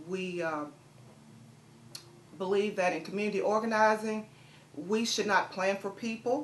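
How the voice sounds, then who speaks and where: A woman with a medium pitch and ordinary pitch variation speaks with long, frequent pauses. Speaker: community nonprofit director. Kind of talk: interview. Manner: fast.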